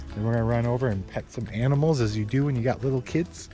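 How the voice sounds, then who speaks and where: Clear music can be heard behind the speaker. His pitch moves in an ordinary way as this man talks. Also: dry sound with no echo. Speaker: vlogger. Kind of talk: casual vlog chat. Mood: relaxed, upbeat. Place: open country. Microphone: phone near.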